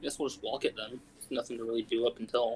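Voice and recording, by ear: Putting on a character voice, a man talks at a very fast pace in a raspy, hoarse tone at medium pitch.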